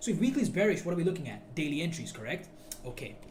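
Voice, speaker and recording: Noticeable background noise fills the recording. A man's voice carries audible room echo. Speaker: forex trading teacher. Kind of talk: tutorial. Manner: loud; animated.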